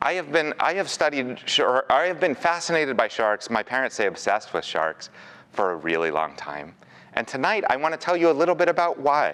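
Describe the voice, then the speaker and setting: Fairly high male speech with an American accent, very wide pitch swings, vocal fry and a fairly quick pace. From Pennsylvania (Pittsburgh). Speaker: marine conservation biologist. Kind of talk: public lecture. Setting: aquarium event with live audience.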